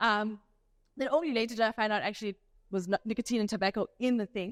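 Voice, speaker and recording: With a South African accent, a woman speaks at a fairly quick pace and fairly high pitch with ordinary pitch variation, in a very clean recording with a silent background and a dry, close sound with no echo. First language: Afrikaans. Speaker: doctor giving a health talk. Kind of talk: health talk lecture. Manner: casual conversational.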